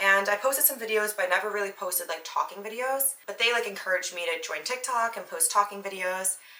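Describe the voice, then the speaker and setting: A woman speaks very fast with an American accent, barely pausing at all. Her pitch sits in the middle with ordinary variation, over noticeable background noise. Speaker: podcast host. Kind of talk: casual monologue. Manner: animated.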